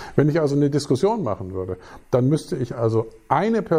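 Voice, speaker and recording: Somewhat breathy with a dark, mellow tone, the voice moves through very wide pitch swings. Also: man. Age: 50s. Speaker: physics professor. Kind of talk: interview. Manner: hesitant, with many fillers.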